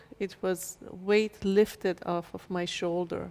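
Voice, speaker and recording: At a very slow pace, a woman talks with a Persian accent. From Iran, Shiraz. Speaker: chiropractor and author. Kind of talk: interview.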